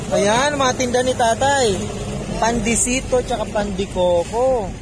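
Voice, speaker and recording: The pace is fairly slow over noticeable background noise. The sound is dry, with no echo. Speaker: vlogger interviewer. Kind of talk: casual vlog interview. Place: street. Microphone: phone near.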